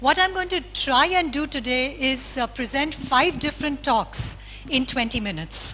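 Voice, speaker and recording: There is noticeable background noise in this clip. A woman speaks at a moderate pace. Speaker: philosopher, conference speaker. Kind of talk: lecture.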